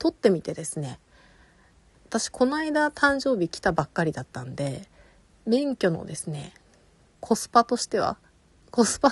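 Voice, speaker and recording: A woman speaks at a moderate pace in a fairly high, somewhat breathy voice. Her pitch swings very widely, and the sound is dry and close with no echo. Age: 40s. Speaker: podcast host and illustrator. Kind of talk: casual solo talk.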